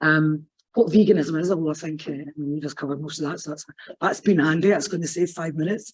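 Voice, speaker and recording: In a Scottish accent, a woman talks very fast with a very deep, low pitch and fairly even intonation. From Scotland, West Lothian. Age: adult, PhD student. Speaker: academic sociologist. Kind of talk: conference talk. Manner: casual, off-the-cuff.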